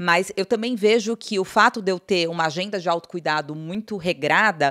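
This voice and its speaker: A woman's voice, set against a quiet background, carries lively intonation at a moderate pace. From Brazil. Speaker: company CEO; guest. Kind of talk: interview. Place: studio. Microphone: studio mic.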